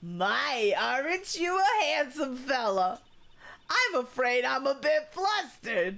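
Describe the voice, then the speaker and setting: A female-sounding put-on character voice is high in pitch and swings very widely. It moves at a fairly slow pace. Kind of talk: sweet, old-fashioned endearments. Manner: flirty, flustered.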